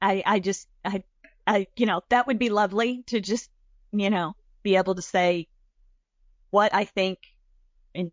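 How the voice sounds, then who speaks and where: Speaking with a Southern US accent, a woman uses medium pitch and fairly even intonation. Her pace is fairly slow. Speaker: podcast co-host. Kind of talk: casual chat. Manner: folksy, warm.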